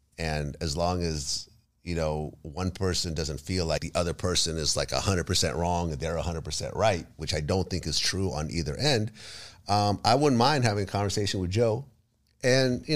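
A male voice, moderately paced, silent background and a very clean recording. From Ukraine. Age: 50s. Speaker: hip-hop interviewer. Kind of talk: casual chat.

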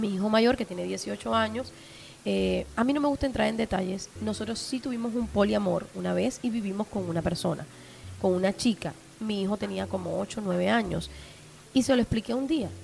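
A woman is speaking at a moderate pace. Noticeable background noise can be heard. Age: 30s. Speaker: sex podcaster. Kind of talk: casual chat. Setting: studio with small audience.

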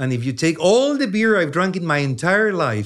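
The intonation is lively, on a very clean recording with a silent background. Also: man. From Chile. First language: Spanish. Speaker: neuroscience professor. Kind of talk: long-form science interview.

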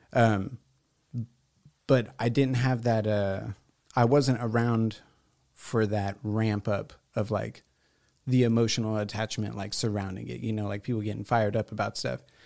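A man with a Texan accent, fairly low in pitch, at a moderate pace with fairly even intonation and long, frequent pauses, on a very clean recording with a silent background. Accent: Texan American. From Houston, Texas (southeast side). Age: 30s. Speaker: visual artist. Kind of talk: casual chat. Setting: studio.

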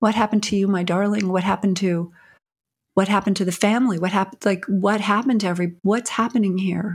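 A woman speaks very fast in a somewhat breathy voice at medium pitch, her loudness very even. The recording is very clean, with a silent background. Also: fairly even intonation. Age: 60s. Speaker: prison reform advocate and filmmaker. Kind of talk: interview.

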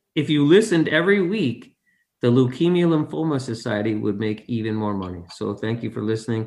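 His delivery is fairly quick, with lively intonation. This man has a plain, everyday voice. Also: medium pitch for a man, quiet background. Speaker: podcast co-host. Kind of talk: casual chat.

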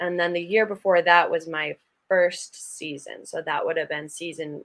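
Speaking at a fairly slow pace with an American accent, a woman uses a fairly low pitch and ordinary pitch variation. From Acton, Massachusetts (Boston area). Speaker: professional hockey player. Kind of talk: casual interview.

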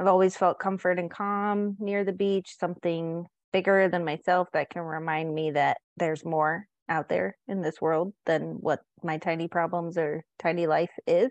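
A woman with an American accent speaks in an ordinary speaking voice, fairly low in pitch, at a fairly slow pace with hardly any pauses and fairly even intonation, in a dry, close sound with no echo. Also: quiet background. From San Diego, California. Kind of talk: casual chat.

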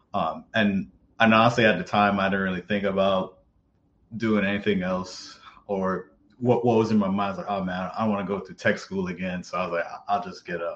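A man's fairly low, monotone voice with flat intonation, a fairly quick pace, and an American accent. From New York, Mount Vernon. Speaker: cybersecurity professional and Air Force veteran. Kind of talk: interview.

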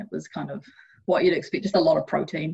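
A woman with a New Zealand accent talks at a very fast pace. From New Zealand, Hamilton. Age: 20s. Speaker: Olympic athlete. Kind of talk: interview.

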